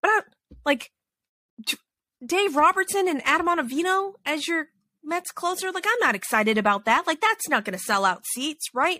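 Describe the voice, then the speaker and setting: A woman with an American accent speaks in a raised, projected voice at an extremely high pitch, with very wide pitch swings and a bright, sharp, animated tone. She keeps a moderate pace with long, frequent pauses, and the sound is dry and close with no echo. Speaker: podcast host. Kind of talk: casual chat.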